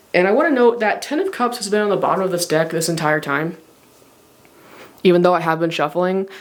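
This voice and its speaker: The speaker talks at a very fast pace but leaves long, frequent pauses, with noticeable background noise throughout. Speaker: tarot reader. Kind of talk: tarot reading monologue. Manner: hesitant, many fillers; stutters occasionally.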